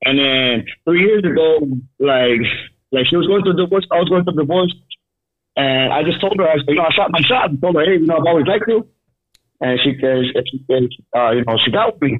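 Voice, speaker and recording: In an American accent, a man speaks fairly quickly at a fairly high pitch, his intonation lively and his loudness very even, with long, frequent pauses. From San Gabriel Valley, California. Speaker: caller. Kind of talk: casual chat. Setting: phone call.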